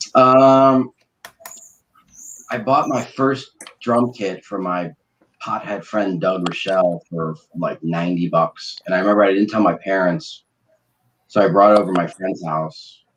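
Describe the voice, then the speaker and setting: A man with an American accent talks at a fairly slow pace and fairly low pitch, with ordinary pitch variation and long, frequent pauses. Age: 40s. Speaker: podcast host and band drummer. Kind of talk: casual chat. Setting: livestream.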